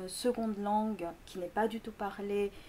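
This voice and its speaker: Speaking with a Korean accent, a woman uses a medium pitch, a dark, mellow tone and ordinary pitch variation. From Greece, Korean family. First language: Korean (speaking French). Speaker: linguistics lecturer. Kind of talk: interview. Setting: school. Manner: halting, many fillers.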